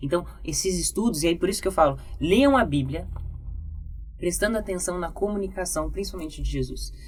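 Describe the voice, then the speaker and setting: In a Brazilian accent, a woman speaks in a calm tone amid audible room echo, with music in the background. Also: fairly quick pace. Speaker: communication and public speaking teacher. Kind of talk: podcast interview. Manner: calm, controlled pace.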